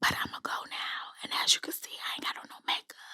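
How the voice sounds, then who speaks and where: A woman whispering at a moderate pace. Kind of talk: ASMR whisper video. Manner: whispered.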